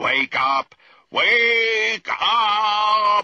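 Putting on a character voice, a man projects loudly in a shrill, high pitch. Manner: shrieking.

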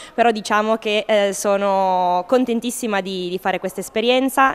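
Her pitch moves in an ordinary way. The woman talks at a moderate pace. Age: 20s. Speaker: carnival queen. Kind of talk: interview. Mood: cheerful, smiling. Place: hall. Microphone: handheld.

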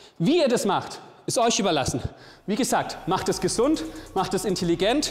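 Faint music plays in the background while a man speaks at a moderate pace. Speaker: fitness trainer. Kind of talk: workout instruction. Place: gym. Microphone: lapel.

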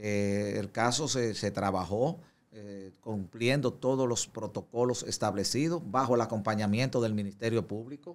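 This man's voice sits at a medium pitch and shows ordinary pitch variation. He speaks at a fairly slow pace. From Dominican Republic. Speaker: police spokesman. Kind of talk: interview. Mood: calm, formal, explanatory. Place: studio. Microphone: studio mic.

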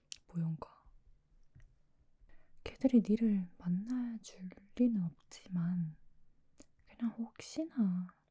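A woman speaks very slowly, with long, frequent pauses. Her tone is dark and mellow, and somewhat breathy. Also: medium pitch for a woman. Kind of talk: role-play video-call ASMR talking to a friend. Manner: casual, chatty, friendly.

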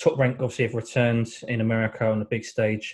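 Very fast, somewhat breathy speech over a quiet background. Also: man. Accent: English. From England. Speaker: boxing interviewer. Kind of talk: interview. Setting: video call.

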